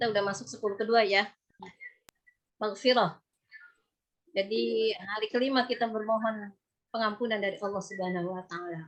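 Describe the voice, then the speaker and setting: Speaking fairly quickly but with long, frequent pauses, a woman of medium pitch uses ordinary pitch variation. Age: 50s. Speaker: religious preacher. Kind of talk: religious lecture. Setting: video call. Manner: conversational.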